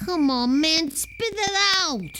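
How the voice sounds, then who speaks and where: This is a put-on character voice. It is high in pitch. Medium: video game. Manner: sardonic, blunt.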